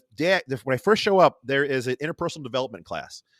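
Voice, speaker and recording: A man with a Rochester accent speaks at a very fast pace in a fairly high pitch, his tone animated, bright and sharp, with ordinary pitch variation. The sound is dry and close with no echo, on a very clean recording with a silent background. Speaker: artist and podcaster. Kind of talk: casual chat. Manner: animated, stumbling.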